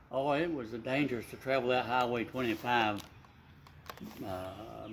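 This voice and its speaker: A man speaks at a medium pitch and a moderate pace. Noticeable background noise runs behind him. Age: old. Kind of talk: interview answer. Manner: talkative.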